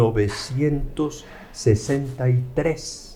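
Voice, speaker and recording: A man's somewhat breathy voice with fairly even intonation. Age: 70s. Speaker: law professor. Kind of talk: interview storytelling.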